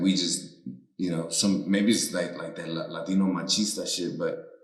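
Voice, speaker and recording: A man at a moderate pace, with audible room echo. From United States. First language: Spanish. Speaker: comedian. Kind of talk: casual chat.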